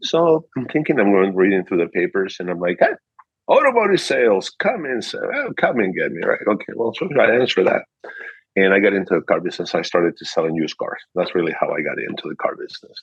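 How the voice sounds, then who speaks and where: Speaking at a very fast pace, a man talks with a Peruvian accent. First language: Spanish. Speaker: car dealership manager. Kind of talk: interview. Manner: animated.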